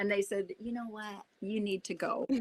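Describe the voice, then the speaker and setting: With a fairly high pitch and a moderate pace, this woman has a plain, everyday voice. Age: 60s. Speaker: actress. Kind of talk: casual chat.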